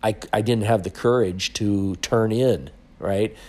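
Speaking very slowly, a man with a fairly low voice talks with an Upper Midwest accent. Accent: Upper Midwest (Minnesota). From Minnesota, rural farm. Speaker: podcast host, financial coach. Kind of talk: monologue, personal story.

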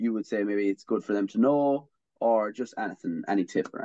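A man speaks at a medium pitch and a fairly quick pace with an Irish accent, the sound dry and close with no echo. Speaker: student podcast host. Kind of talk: casual interview. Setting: video call.

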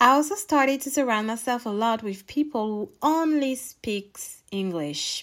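A woman with a French accent has a high pitch and lively intonation. She talks at a fairly slow pace with hardly any pauses. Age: 20s. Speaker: podcast host. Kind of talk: casual monologue. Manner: laughs often.

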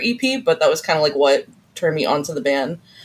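A woman talks at a fast pace, her voice carrying a slightly husky edge.

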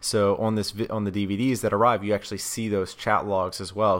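This man talks at a very fast pace in a monotone, flat intonation, his pitch fairly low, with an American accent. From US South. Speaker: podcast host. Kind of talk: casual interview chat. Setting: remote call.

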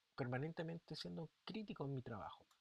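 With a Chilean accent, a man speaks at a moderate pace. His pitch is fairly high. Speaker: teacher and podcast host. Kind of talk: solo podcast monologue. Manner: casual, conversational.

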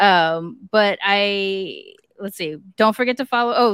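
In a dry, close recording with no echo and a silent background, a woman with an American accent speaks in a normal speaking voice at a medium pitch. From US, mixed Japanese heritage. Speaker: podcast co-host. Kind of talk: casual chat; show announcements.

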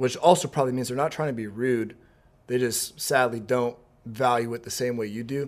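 There's an unremarkable speaking voice from a man at a medium pitch. He keeps a fairly quick pace and fairly even intonation. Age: 20s. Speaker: young adult pastor and preacher. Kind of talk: casual interview Q&A.

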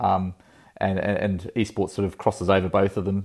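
The speaker has an Australian accent and a monotone, flat intonation. The recording is very clean, with a silent background. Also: man. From Australia, rural Victoria. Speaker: esports entrepreneur. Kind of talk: interview. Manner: halting.

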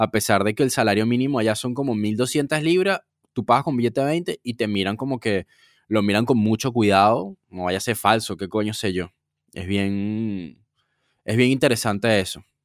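Here is an unremarkable speaking voice from a man, fairly low in pitch with ordinary variation, at a moderate pace. The sound is dry and close with no echo, on a very clean recording with a silent background. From Venezuela. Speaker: podcast co-host. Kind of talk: casual chat.

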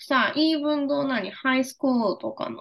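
In a Japanese accent, a woman speaks with a high pitch. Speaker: podcast co-host. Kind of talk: casual chat. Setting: video call.

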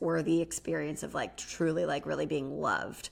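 An animated, playful woman with vocal fry at a moderate pace, on a very clean recording with a silent background. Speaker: licensed therapist and podcast co-host. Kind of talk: casual chat, podcast discussion of reality TV.

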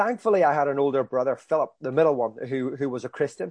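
With a Belfast accent, a man speaks at a fairly high pitch. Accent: Belfast Northern Irish. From Northern Ireland, East Belfast. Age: 40s. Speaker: evangelist. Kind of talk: sermon; interview.

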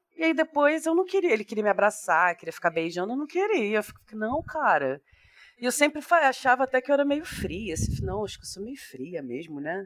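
Fairly high-pitched woman at a fairly quick pace, with very wide pitch swings. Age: 30s. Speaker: psychologist and podcaster. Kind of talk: casual chat.

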